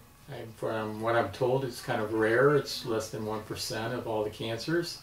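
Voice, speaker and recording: A man speaks at medium pitch and a moderate pace with fairly even intonation. Noticeable background noise and audible room echo fill the recording. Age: 60s. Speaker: cancer patient. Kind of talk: testimony. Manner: halting.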